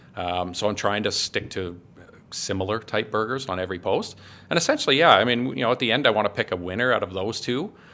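A man with a fairly low pitch and a bright, sharp tone talks at a very fast pace. The background is quiet. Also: ordinary pitch variation. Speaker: food blogger and gas fitter. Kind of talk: casual interview chat.

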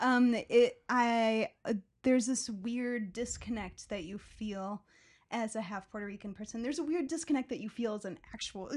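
A woman with a Chicago accent speaks at a fairly high pitch, somewhat breathy, with ordinary pitch variation and big swings in loudness, on a very clean recording with a silent background. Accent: Chicago-area American. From Chicago southwest suburbs. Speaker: theater curator. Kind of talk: casual chat.

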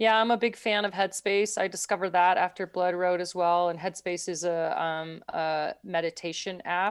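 An unremarkable speaking voice from a woman, medium in pitch, with fairly even intonation, a moderate pace and hardly any pauses, against a quiet background. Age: 50s. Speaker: pro endurance athlete. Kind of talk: interview.

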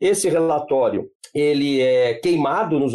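A man with a normal speaking voice at a fairly slow pace, with lively intonation. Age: 50s. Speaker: law professor and genocide researcher. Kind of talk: podcast interview.

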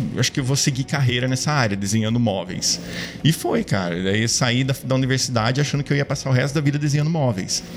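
A man at a fairly quick pace, with ordinary pitch variation and very even loudness, over music in the background. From Brazil, Ribeirão Preto, São Paulo state. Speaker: product designer. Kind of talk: casual interview. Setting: studio.

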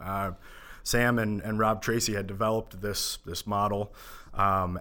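With an Upper Midwest accent, a man speaks at a moderate pace in a fairly low-pitched voice with a bright, sharp tone. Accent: Upper Midwest American. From Minnesota, Minneapolis suburbs. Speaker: accountant. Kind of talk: podcast interview.

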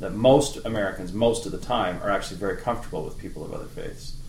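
With a western Canadian accent, a man speaks fairly quickly in a somewhat breathy voice, with audible room echo. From Canada, Medicine Hat, Alberta. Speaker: political science professor. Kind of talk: interview.

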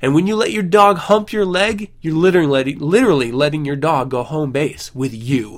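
A man has an unremarkable speaking voice with a fairly high pitch. His intonation is lively. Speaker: podcast host. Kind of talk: casual podcast monologue.

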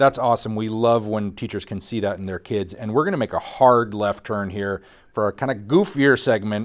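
A man's plain, everyday voice, fairly low in pitch, at a fairly quick pace with ordinary pitch variation. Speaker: podcast host. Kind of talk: casual banter podcast.

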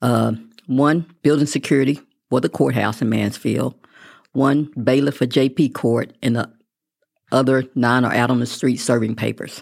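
On a very clean recording with a silent background, a woman with a Texan accent speaks at a moderate pace in a very deep, low pitch with fairly even intonation. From West Texas (Midland). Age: 60s. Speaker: constable, former teacher and local politician. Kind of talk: interview. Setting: studio.

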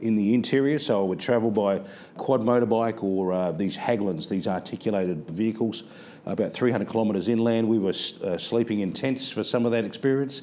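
A man with an Australian accent speaks quickly enough, at medium pitch with ordinary variation, in a dark, mellow tone. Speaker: school principal. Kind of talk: interview. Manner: halting, with frequent repetitions.

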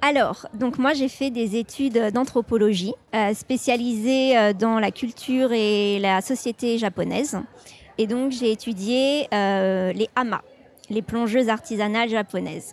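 This woman's voice sits fairly high and moves at a very slow pace. Her loudness stays very even, and her intonation is fairly even too. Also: very clean recording, silent background. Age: 20s. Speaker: journalist. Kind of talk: interview.

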